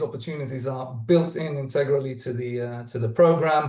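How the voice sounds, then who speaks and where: Here a man speaks at medium pitch with a dark, mellow tone. His intonation is fairly even, and he sounds somewhat breathy. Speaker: startup founder. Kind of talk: webinar talk. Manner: halting, many fillers.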